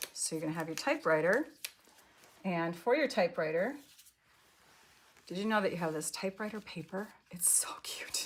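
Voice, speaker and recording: Long, frequent pauses mark this speech in an American accent. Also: woman, medium pitch for a woman, lively intonation. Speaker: paper craft demonstrator. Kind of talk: live craft tutorial. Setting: live online class. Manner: fast.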